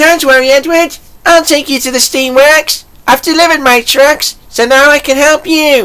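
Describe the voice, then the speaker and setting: Putting on a character voice, a woman speaks in an upbeat tone at a moderate pace and a high pitch. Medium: audio drama. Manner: eager, upbeat.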